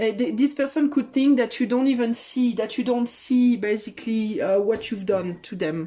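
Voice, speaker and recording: A woman's fairly high, dark and mellow voice with a French accent, at a moderate pace. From France. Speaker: tarot reader. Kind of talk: tarot reading. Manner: halting.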